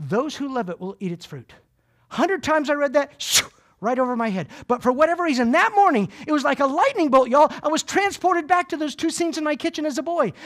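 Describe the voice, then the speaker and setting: Extremely high-pitched, a man delivers his words at a very fast pace with an animated, energetic tone and lively intonation. The recording is very clean, with a silent background. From US South. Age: 30s. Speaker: motivational speaker. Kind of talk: keynote talk. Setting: stage with audience.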